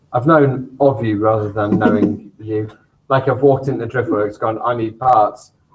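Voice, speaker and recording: At a moderate pace, a somewhat breathy voice speaks with fairly even intonation. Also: man, medium pitch for a man. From England, Merseyside (Birkenhead). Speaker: shop co-owner and show co-host. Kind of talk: casual chat.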